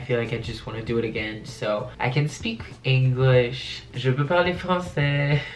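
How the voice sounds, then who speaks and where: Over noticeable background noise and audible room echo, a man speaks at medium pitch and a moderate pace. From France, Paris. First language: French. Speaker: youtuber. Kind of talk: casual Q&A vlog.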